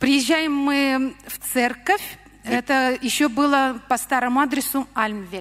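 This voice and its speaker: A high-pitched woman at a very slow pace, with ordinary pitch variation and big swings in loudness. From Russia. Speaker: church member. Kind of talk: testimony. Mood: earnest, emotional storytelling. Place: church. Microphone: handheld.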